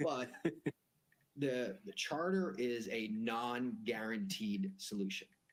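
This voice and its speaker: A man at a medium pitch with an American accent, very slow in pace and with very wide pitch swings. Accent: Boston accent, comes out sometimes. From Boston area, US. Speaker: private jet broker. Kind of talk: sales call explaining jet charter.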